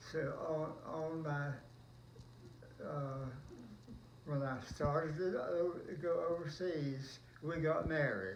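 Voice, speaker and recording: A man speaks very slowly in a fairly high pitch, with ordinary pitch variation and long, frequent pauses. Noticeable background noise and audible room echo fill the recording. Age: 90s. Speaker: World War Two army veteran. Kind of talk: oral history interview. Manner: halting.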